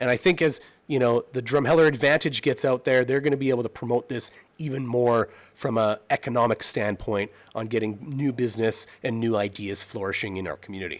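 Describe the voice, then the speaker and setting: A man with a Canadian accent talks fairly quickly in an ordinary speaking voice. His pitch is medium, with ordinary pitch variation. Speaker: presenter to town council. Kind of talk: presentation.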